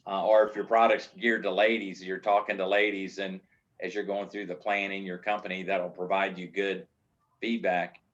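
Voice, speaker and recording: A man's fairly low voice with monotone, flat intonation at a moderate pace. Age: 60s. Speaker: business consultant. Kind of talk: lecture. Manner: casual, halting.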